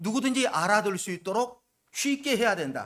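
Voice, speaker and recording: Loud and high-pitched, a man talks at a moderate pace with lively intonation. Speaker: pastor. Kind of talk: sermon.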